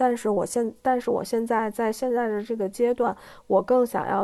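A woman with a dark, mellow tone talks at a moderate pace, her fairly high pitch following a fairly even intonation. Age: 30s. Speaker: public relations professional. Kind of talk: interview. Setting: livestream. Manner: halting.

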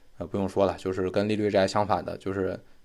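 A man is speaking. His pace is fairly quick. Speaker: finance podcast host. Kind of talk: explanatory lecture-style monologue. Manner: improvised with frequent fillers.

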